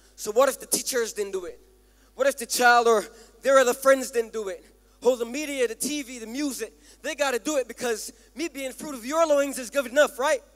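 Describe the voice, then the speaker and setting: A man's extremely high voice at a fairly quick pace, fairly even in intonation, with big swings in loudness and music in the background. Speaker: spoken word minister performing at a church service. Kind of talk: rhythmic spoken word poetry sermon on parenting.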